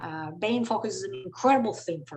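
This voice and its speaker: At a moderate pace, a woman in a Spanish accent speaks somewhat breathily at a medium pitch, her pitch swinging very widely. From Venezuela. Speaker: company CEO. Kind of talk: panel discussion.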